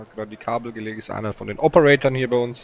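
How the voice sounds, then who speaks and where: Animated in tone, a man speaks at a fairly quick pace, the sound dry with no echo and light noise in the background. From Franconia, Germany (Nuremberg area); Germany. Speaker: poker commentator. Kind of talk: live commentary. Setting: commentator booth at live event. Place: booth.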